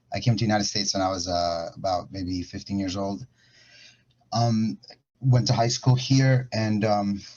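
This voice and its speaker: Somewhat breathy and fairly low-pitched, a man speaks at a moderate pace with ordinary pitch variation. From Ecuador. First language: Spanish. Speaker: music industry professional. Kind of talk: panel talk. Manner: halting. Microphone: connection freezing.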